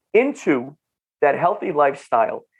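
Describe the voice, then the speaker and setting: A man with a North Jersey accent speaks in an animated tone. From northern New Jersey. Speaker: functional nutrition clinician. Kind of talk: podcast interview. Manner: animated, repetitive restarts.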